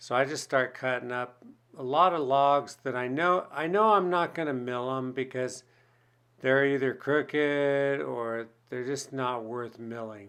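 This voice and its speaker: A man with a medium-pitched voice talks fairly slowly, his pitch varying in an ordinary way. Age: 60s. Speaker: woodworker and channel host. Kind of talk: voice-over narration of own work video. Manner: casual, halting with repeated words.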